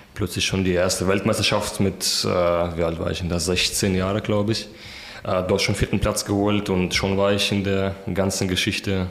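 A man's fairly low voice holds fairly even intonation at a moderate pace. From Kazakhstan, in Germany since 2006 (from about age 11). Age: 20s. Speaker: pole vaulter. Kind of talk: interview. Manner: hesitant with many fillers.

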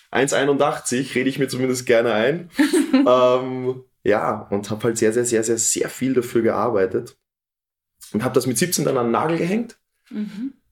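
A man with an unremarkable speaking voice talks at a moderate pace and medium pitch, using lively intonation. The recording is very clean, with a silent background. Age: 20s. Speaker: fitness trainer and coach. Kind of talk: interview.

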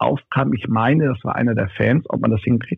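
His voice sits at a medium pitch. The man talks at a moderate pace. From northern Germany, North Frisia. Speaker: arena announcer and DJ. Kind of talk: casual interview. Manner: loud.

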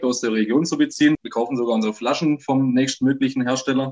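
This is a man speaking. His pitch is medium. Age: 20s. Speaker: brewer. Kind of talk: podcast interview.

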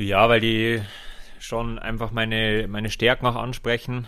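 A man's fairly low voice has a bright, sharp tone and a monotone, flat intonation. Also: very clean recording, silent background. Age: 30s. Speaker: triathlete. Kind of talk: casual chat. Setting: training camp.

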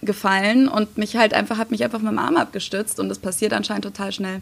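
This woman has a plain, everyday voice. It sits fairly high and varies in pitch in an ordinary way. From Germany. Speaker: YouTuber. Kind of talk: casual interview.

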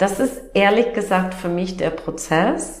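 Speaking very slowly in an English accent, a woman keeps a medium pitch with ordinary pitch variation amid audible room echo. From US Midwest. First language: English (speaking German). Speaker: naturopath and energy coach. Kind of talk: interview. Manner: halting.

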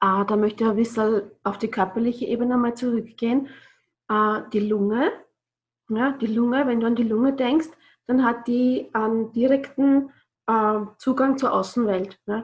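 Her pitch fairly high and her intonation fairly even, a woman talks at a moderate pace with long, frequent pauses. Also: very even loudness. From Austria, Burgenland (Bad Sauerbrunn). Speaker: yoga and breathing trainer. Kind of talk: podcast interview.

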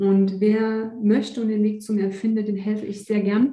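In a room with audible echo, a woman speaks in a monotone, flat intonation, her tone dark and mellow and somewhat breathy. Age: 40s. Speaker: nature and energy coach. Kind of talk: interview.

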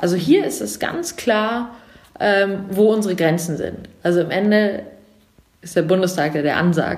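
Against audible room echo, a woman speaks fairly slowly at medium pitch. Her pitch varies in an ordinary way, broken by long, frequent pauses. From Germany, Munich. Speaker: civil servant. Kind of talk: interview.

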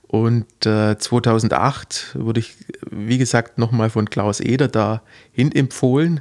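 Very slow and fairly even in intonation, a man with a medium pitch speaks on a very clean recording with a silent background and a dry, close sound with no echo. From Heidenheim district, Swabia (Baden-Württemberg). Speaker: physiotherapist for athletes. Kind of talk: interview. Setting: studio. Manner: halting, many fillers.

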